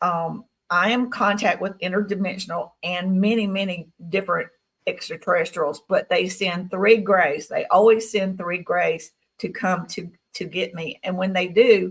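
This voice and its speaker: A woman with a Southern US accent speaks at a moderate pace, somewhat breathy, with fairly even intonation. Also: medium pitch for a woman. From Tennessee. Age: 60s. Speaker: guest speaker on experiencer stories. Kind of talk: interview testimony.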